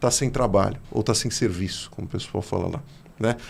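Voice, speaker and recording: Speaking with a São Paulo accent, a man talks at a moderate pace with lively intonation and a somewhat breathy sound. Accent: São Paulo accent, noticeable. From São Paulo state. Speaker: podcast host. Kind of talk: interview conversation.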